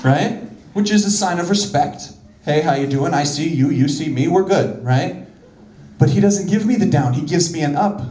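A man speaks at a moderate pace in a fairly high voice, his intonation lively, with audible echo in the room. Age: 30s. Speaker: comedian. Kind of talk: stand-up. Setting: stage with audience. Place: stage. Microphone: handheld.

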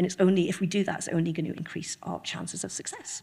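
At a very fast pace, a woman talks in a somewhat breathy voice of medium pitch. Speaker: cybersecurity manager and organizational psychologist. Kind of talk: conference talk. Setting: stage with audience.

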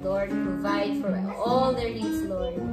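A woman's voice over loud background music. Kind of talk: spoken prayer. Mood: reverent, earnest. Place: home room.

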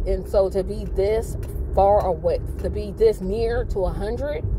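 A woman talks at a very slow pace. The recording is dry with no echo, but background noise is noticeable. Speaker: channel host. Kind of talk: casual vlog chat. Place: car. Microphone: phone near.

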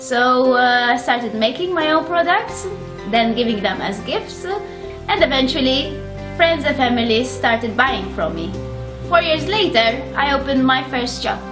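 A woman's high-pitched voice at a moderate pace, with clear music in the background. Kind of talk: promotional talk to camera. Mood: warm, friendly. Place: shop.

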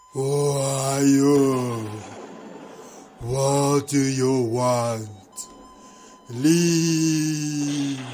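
A man does a put-on character voice at a medium pitch. He speaks at a very slow pace with long, frequent pauses. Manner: yelling, hostile.

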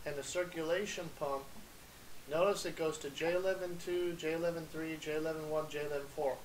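Light background noise sits behind a man speaking. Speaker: appliance repair instructor. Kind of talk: lecture.

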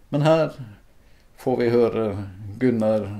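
A man speaks in a dark, mellow tone. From Northern Norway, Finnmark. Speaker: video maker. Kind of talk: scripted narration. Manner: halting.

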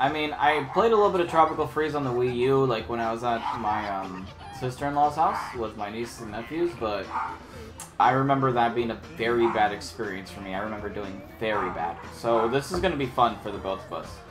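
Noticeable background noise runs behind a man's voice. He speaks at a fairly quick pace with lively intonation. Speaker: barista gamer. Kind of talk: casual gaming commentary.

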